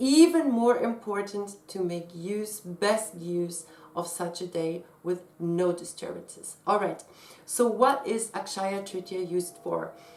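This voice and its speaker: A woman talks at a fairly slow pace with a non-native accent. Her pitch is medium for a woman. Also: ordinary pitch variation. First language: not English. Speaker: astrologer and tarot reader. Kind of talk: casual explanatory talk to camera.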